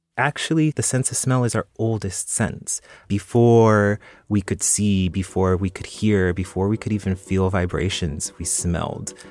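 With music in the background, a man talks at a fairly slow pace in an American accent with ordinary pitch variation. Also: fairly low pitch for a man. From South San Francisco, California. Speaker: perfumer. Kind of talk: interview. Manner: casual, with fillers.

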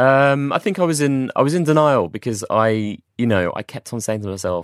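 A man with a London accent speaks at a medium pitch with lively intonation. The sound is dry and close with no echo, on a very clean recording with a silent background. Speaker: mental health campaigner. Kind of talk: interview testimony. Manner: halting.

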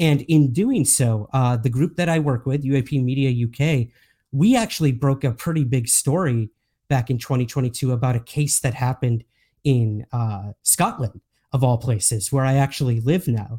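At a moderate pace, a man speaks in a dark, mellow, somewhat breathy tone at a medium pitch with ordinary pitch variation, on a very clean recording with a silent background and a dry, close sound with no echo. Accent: American. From US. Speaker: UFO author and podcaster. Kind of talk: casual interview chat.

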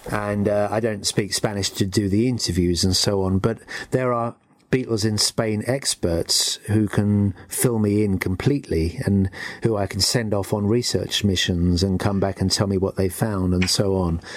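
In an English accent, the speaker keeps a moderate pace and a very even loudness. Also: man, fairly low pitch for a man, fairly even intonation. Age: 60s. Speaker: music historian and author. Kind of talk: interview. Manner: hesitant, with frequent fillers.

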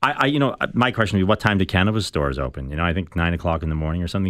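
Talking at a very fast pace, a man with a very deep, low pitch and ordinary pitch variation is heard on a very clean recording with a silent background. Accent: Irish. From Ireland, Dublin. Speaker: political staffer. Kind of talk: radio panel discussion. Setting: radio studio.

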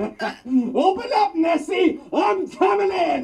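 Cackling at an extremely high pitch and a very slow pace. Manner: manic, gleeful, cackling.

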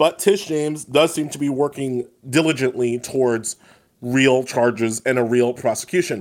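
Using a normal speaking voice, this man talks at a medium speed, his pitch rising and falling in an ordinary way. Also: medium pitch for a man. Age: 40s. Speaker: legal analyst and writer. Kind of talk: casual chat.

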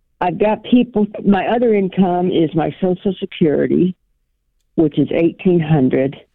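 A woman speaks in an ordinary speaking voice at a medium pitch and a moderate pace. Her pitch variation is ordinary and her loudness is very even. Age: 60s. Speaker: caller. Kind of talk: call-in advice question.

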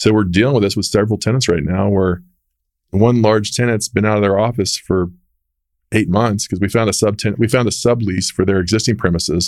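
With an American accent, a man talks at a fairly quick pace in a plain, everyday voice, fairly low in pitch, with fairly even intonation and very even loudness, on a very clean recording with a silent background. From Texas, Dallas. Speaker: real estate executive. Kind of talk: interview. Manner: conversational.

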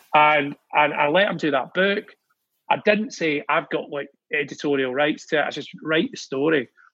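With a Glaswegian accent, a man talks at a fairly high pitch. His pitch varies in an ordinary way. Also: moderate pace. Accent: Glaswegian Scottish. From Scotland, Glasgow. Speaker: music industry figure. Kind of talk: casual chat. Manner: animated.

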